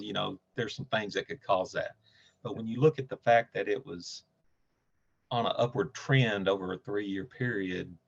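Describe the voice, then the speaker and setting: A man with a Southern US accent, moderate pace and ordinary pitch variation, recorded dry and close with no echo. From Nashville, Tennessee. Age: 60s. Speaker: cancer patient. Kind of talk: interview.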